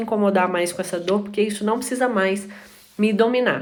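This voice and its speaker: A woman rushes through her words very rapidly, her pitch varying in a typical way. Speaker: live stream host. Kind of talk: live stream talk. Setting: live stream. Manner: fast.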